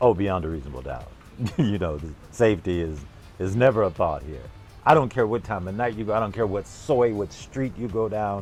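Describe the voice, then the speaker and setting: With music in the background, a man with an American accent talks at a fairly quick pace, his fairly low pitch carrying lively intonation and big swings in loudness. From Los Angeles, California. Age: 70s. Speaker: retired former radio personality and jazz musician. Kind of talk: interview answer.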